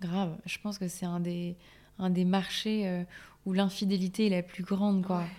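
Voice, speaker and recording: A woman's dark, mellow voice in a flat monotone. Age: 20s. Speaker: cosmetics brand founder. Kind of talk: casual interview.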